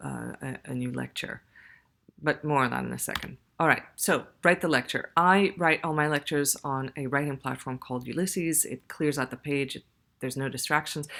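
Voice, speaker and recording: Using vocal fry, a woman speaks at a very deep, low pitch with fairly even intonation and big swings in loudness. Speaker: university lecturer. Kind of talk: tutorial. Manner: fast; conversational.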